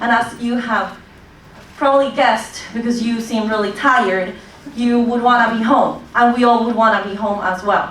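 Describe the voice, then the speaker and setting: Noticeable background noise and audible room echo surround a woman whose intonation is fairly even. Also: fairly high pitch for a woman, moderate pace. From Colombia. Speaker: public commenter, recent graduate. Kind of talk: public hearing testimony.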